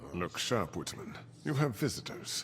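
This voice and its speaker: A man puts on a character voice at a medium pitch. Clear background noise runs behind him. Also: moderate pace. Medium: video game. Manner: smug, menacing.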